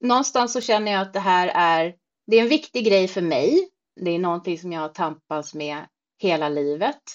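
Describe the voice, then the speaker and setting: A woman's ordinary speaking voice at a medium pitch and moderate pace. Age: 40s. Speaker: social media creator on weight-loss surgery. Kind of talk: casual chat.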